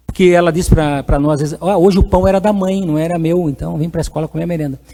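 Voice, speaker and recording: A man's high voice at a very fast pace, fairly even in intonation, with noticeable background noise. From Curitiba, southern Brazil. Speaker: psychologist and educator giving a conference talk. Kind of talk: lecture. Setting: conference hall with audience. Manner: halting, with repetitions.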